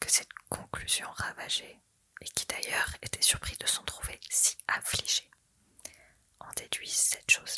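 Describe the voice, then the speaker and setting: Whispering at a fairly slow pace. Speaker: ASMR creator. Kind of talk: ASMR novel reading. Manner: whispered.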